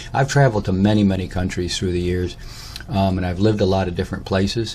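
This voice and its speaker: A man's very fast, very deep, low voice in an American accent, with fairly even intonation and noticeable background noise. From Michigan (Lansing), US Midwest. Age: 60s. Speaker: personal storyteller / vlogger. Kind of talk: autobiographical monologue. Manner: halting, many fillers and false starts.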